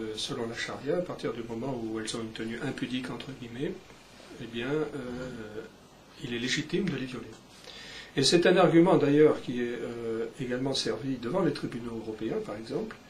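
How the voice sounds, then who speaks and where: Speech at a moderate pace with ordinary pitch variation and long, frequent pauses comes through noticeable background noise and audible room echo. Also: man, medium pitch for a man. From Algeria (French Algeria), then France. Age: 50s. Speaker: journalist and author. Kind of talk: interview. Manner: hesitant, many fillers.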